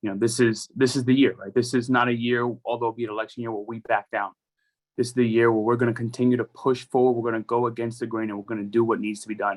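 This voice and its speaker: A man with a New York accent talks at a very fast clip in a flat monotone at medium pitch. The sound is dry and close with no echo, over a quiet background. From New York City, the Bronx. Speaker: politician. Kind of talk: rally speech. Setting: rally.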